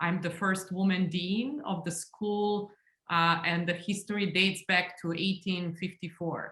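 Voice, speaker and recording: A woman with a Serbian accent speaks at a medium pitch and a fairly slow pace, her bright, sharp tone carried on fairly even intonation. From Serbia, Belgrade. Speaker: engineering school dean. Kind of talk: panel discussion.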